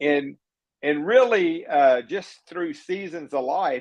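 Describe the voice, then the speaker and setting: An American accent from a man. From Texas, Beaumont. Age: 60s. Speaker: mayoral candidate. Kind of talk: interview.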